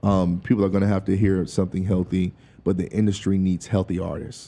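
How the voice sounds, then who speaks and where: Fairly low in pitch and dark, mellow in tone, a man with an American accent talks at a fairly quick pace. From US South, rural North Carolina (Durham County). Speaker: singer and music producer. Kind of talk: casual interview chat. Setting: studio.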